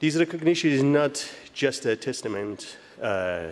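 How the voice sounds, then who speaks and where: Speaking with lively intonation, a man has a Kurdish accent. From Iranian Kurdistan. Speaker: physicist, award recipient. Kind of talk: award acceptance speech. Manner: halting.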